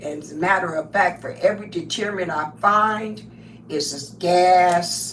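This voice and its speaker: With audible room echo and noticeable background noise, a woman speaks at a moderate pace and fairly low pitch, animated in tone with lively intonation. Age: 70s. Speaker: crafting livestreamer. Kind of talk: casual live stream monologue.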